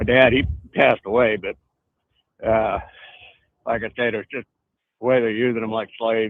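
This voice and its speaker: This man has a medium-pitched voice and an American accent, with flat, monotone intonation. He keeps a moderate pace, broken by long, frequent pauses. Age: 70s. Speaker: caller. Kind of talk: call-in conversation.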